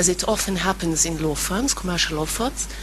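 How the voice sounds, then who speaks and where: There is noticeable background noise. Through it, a woman speaks with an Israeli accent. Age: 40s. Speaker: audience member, lawyer. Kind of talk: audience question.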